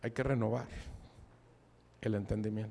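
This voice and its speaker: A man's voice, dark and mellow in tone, holds a moderate pace. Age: 60s. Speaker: preacher. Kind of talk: sermon. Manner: casual, conversational.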